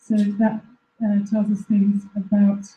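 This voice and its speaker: A woman is speaking. Her pitch is medium. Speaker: researcher at a plant phenotyping facility. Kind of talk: presentation. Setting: live-streamed talk to an audience. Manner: halting.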